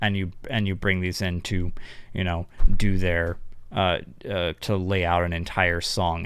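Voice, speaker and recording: A man mumbles in a very deep, low pitch. His intonation is flat and monotone, and the sound is dry with no echo. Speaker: music production youtuber. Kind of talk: tutorial. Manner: mumbling; halting. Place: home room. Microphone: studio mic.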